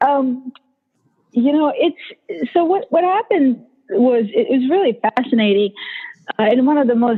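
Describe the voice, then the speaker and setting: Speaking in a Bosnian accent, a woman's voice sits at a high pitch with very wide pitch swings. Her pace is fairly slow. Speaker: motivational speaker. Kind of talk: interview.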